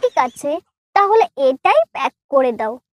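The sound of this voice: A cartoonish character voice with very wide pitch swings. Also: woman, high pitch for a woman.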